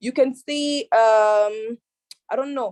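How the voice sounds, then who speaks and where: A woman with an East African accent, a dark, mellow tone, and a dry, close sound with no echo. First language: Swahili. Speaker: youth panelist. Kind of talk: panel discussion. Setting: online video call. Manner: halting, many repetitions.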